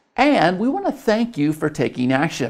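Against a quiet background, a man speaks at a moderate pace. His pitch swings very widely. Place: studio. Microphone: lapel.

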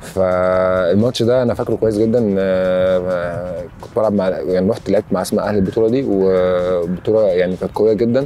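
A man speaks with a very deep, low pitch and fairly even intonation. His pace is moderate, with light background noise. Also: dry sound with no echo. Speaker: interviewee. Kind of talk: interview answer. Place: open country. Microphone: lapel.

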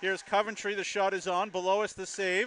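Over noticeable background noise, a man uses a raised, projected voice with a dry, close sound and no echo. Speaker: hockey play-by-play announcer. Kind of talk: live sports commentary.

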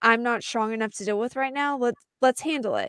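Against a quiet background, a woman speaks in an animated tone with ordinary pitch variation, the sound dry with no echo. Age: 20s. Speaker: podcast panelist; podcast co-host. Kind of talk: casual chat. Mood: relaxed, friendly. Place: home room. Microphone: studio mic.

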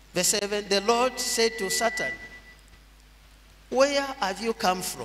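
A man's high-pitched voice at a very slow pace, with ordinary pitch variation and noticeable background noise. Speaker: pastor. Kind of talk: sermon, scripture reading. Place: church. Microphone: podium.

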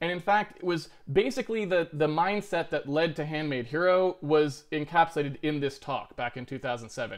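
A plain, everyday voice from a man with an American accent, fairly high pitch, ordinary pitch variation and a moderate pace over a quiet background. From Massachusetts, US. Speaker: game engine programmer; programmer giving a lecture. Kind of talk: lecture; casual introduction. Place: home room.

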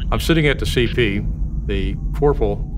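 A man's voice over noticeable background noise. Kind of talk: interview answer. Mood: serious, reflective. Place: hall.

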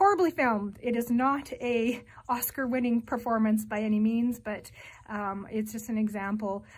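A somewhat breathy woman speaks at a moderate pace with ordinary pitch variation. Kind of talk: casual vlog chat. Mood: warm, friendly. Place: home room. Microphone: phone near.

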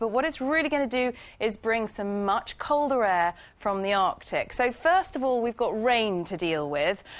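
A woman speaks with a fairly high pitch. Her intonation is lively.

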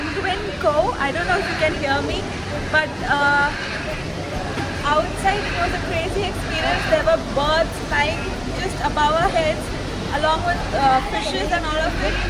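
Over crowd noise in the background, a woman speaks with ordinary pitch variation. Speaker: travel vlogger. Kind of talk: casual vlog chat. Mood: excited, amazed. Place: hall. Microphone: phone near.

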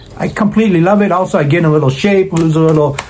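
A very fast voice with ordinary pitch variation and a slightly mellow tone, heard with audible room echo. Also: man, fairly high pitch for a man.

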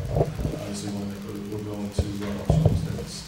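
A man is speaking in a room with audible echo. Loud background noise runs behind him. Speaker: police official giving report. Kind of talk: formal report at public meeting. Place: meeting room.

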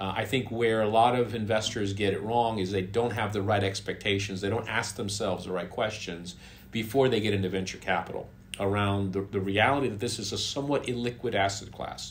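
Somewhat breathy, a man speaks at a fairly quick pace over light background noise. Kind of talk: interview answer. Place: home room.

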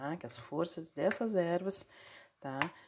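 A woman at a fairly slow pace with ordinary pitch variation, over a quiet background. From Porto Alegre, southern Brazil; Rio Grande do Sul, Brazil. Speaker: spiritual practitioner and video creator; herbal bath teacher. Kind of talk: tutorial; casual tutorial chat. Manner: casual, many filler tags. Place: kitchen. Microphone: phone near.

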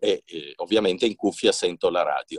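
This man's talking moves at a moderate pace. There's a quiet background, and the audio is dry, without any echo. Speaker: radio host and voice actor. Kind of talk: casual talk to camera. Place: booth. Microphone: phone near.

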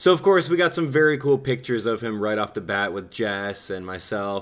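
Lively intonation from a man with a plain, everyday voice, medium pitch and moderate pace. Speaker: YouTuber and event host, vlogger. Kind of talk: casual vlog talk to camera, friendly fan-event chatter. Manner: upbeat, friendly.

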